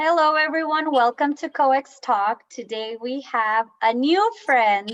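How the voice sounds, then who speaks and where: At a very slow pace and with hardly any pauses, this speaker uses lively intonation in a Spanish accent, the sound dry and close with no echo. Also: woman, high pitch for a woman. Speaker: talk show host. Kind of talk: interview.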